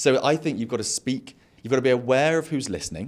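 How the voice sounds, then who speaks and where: A man speaks with a British accent at a medium pitch. His pace is fairly quick. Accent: regional British. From England. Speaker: podcast host and entrepreneur. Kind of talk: casual interview chat. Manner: fast.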